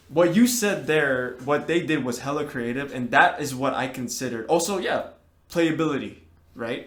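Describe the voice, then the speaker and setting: A man with a fairly high pitch and lively intonation at a moderate pace, with audible room echo. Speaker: podcast co-host. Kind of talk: casual chat. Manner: halting, repeats words.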